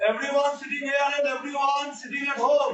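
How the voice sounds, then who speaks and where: In a room with audible echo, a man speaks at an extremely high pitch with fairly even intonation. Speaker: maths teacher. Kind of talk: online class lecture. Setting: hybrid classroom with students online. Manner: slow. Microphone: network issue, voice breaking.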